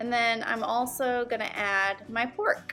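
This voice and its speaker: Music plays in the background. The speaker has an American accent. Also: woman. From Texas. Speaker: home cook, culinary school graduate. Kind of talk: cooking tutorial talk to camera. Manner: casual, friendly.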